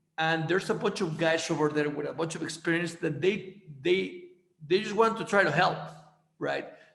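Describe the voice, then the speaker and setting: A man speaks at a moderate pace with a high pitch and fairly even intonation, and there is audible room echo. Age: 30s. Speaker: podcast host. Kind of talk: casual interview. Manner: halting, many repeated words.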